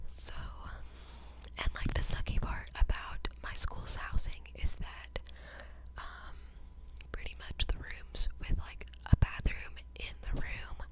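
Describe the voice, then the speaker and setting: A woman whispering at a fairly slow pace, amid noticeable background noise. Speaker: college student. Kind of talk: ASMR whisper ramble. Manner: whispered.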